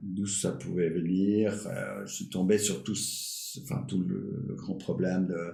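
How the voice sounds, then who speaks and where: The speech is very slow, with hardly any pauses and lively intonation. Room echo is audible, and background noise is noticeable. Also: man, very deep, low pitch for a man. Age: 60s. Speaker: retired doctor and climate activist. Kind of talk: casual interview. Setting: live stream podcast. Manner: halting, many fillers and repetitions.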